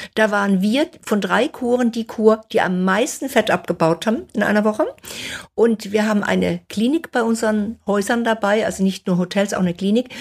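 A woman talks in a plain, everyday voice at a fairly high pitch. Her pace is moderate and her pitch variation ordinary. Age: 60s. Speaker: nutrition author and fasting expert. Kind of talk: interview.

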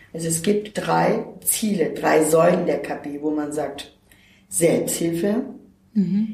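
Very slow speech with ordinary pitch variation carries audible room echo and noticeable background noise. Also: woman, fairly low pitch for a woman. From Turkey, moved to Germany at 13. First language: Turkish (speaking German). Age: 50s. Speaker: self-help centre worker. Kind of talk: interview.

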